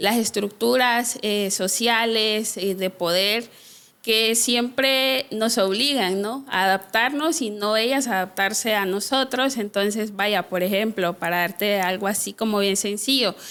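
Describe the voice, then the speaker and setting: At a fairly slow pace, a woman talks in a fairly high, bright, sharp voice with ordinary pitch variation and very even loudness. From Honduras, Trujillo, Colón (Garifuna community). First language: Garifuna (speaking Spanish). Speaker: social worker and activist. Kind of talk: interview conversation. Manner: hesitant, many fillers.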